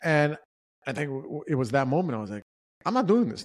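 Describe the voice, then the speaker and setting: A very fast-paced delivery with a New York accent. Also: man. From New York City. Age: 40s. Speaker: podcast co-host. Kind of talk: casual chat.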